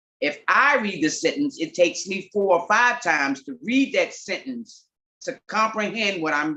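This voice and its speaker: With an American accent, a woman talks at a moderate pace at a medium pitch, her voice swinging very widely up and down. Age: 50s. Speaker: comedian. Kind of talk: testimony.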